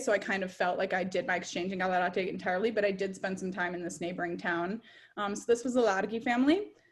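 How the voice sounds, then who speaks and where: A woman with an Upper Midwest accent, fairly quick pace and ordinary pitch variation, on a very clean recording with a silent background. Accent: Upper Midwest American. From US Midwest, Minnesota (Edina). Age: 20s. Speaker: former exchange student, graduate student. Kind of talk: presentation talk. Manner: fast.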